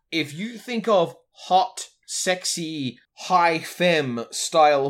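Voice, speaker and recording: Lively intonation from a man with an Australian accent. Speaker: podcast host. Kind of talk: casual chat.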